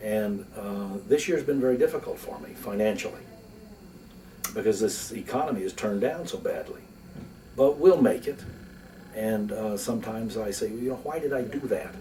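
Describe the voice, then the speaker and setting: A man talks at a moderate pace with long, frequent pauses and big swings in loudness, over noticeable background noise. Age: 60s. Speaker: lawyer and philanthropist. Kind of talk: interview. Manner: conversational, with fillers.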